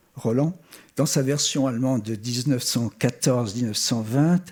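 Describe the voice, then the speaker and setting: With a German accent, a man talks at a medium pitch with ordinary pitch variation. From Switzerland (Geneva), German-born. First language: German (speaking French). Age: 70s. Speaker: art historian, former museum curator. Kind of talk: memorial tribute speech. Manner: formal.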